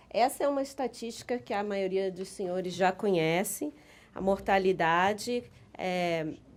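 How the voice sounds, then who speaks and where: Her intonation is lively and her pitch medium. This woman speaks at a fairly slow pace. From Brazil. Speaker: business council director, lawyer. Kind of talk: conference presentation. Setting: conference with audience. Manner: halting.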